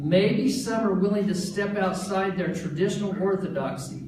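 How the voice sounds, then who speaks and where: Noticeable background noise and audible room echo surround this recording. A man speaks at a fairly slow pace with a high pitch. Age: 60s. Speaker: political candidate. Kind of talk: campaign announcement speech. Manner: formal.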